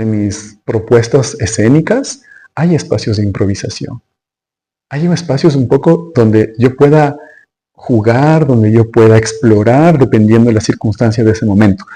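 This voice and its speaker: Somewhat breathy and dark, mellow in tone, a man speaks at a medium pitch and a fairly slow pace, his pitch varying in an ordinary way. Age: 40s. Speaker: dancer and performer. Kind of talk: interview. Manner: halting.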